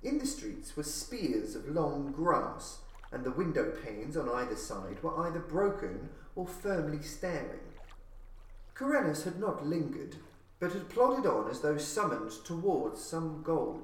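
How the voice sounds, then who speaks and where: Fairly slow male speech amid noticeable background noise. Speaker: audiobook narrator. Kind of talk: literary audiobook reading of gothic horror fiction. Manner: measured, atmospheric, formal storyteller delivery.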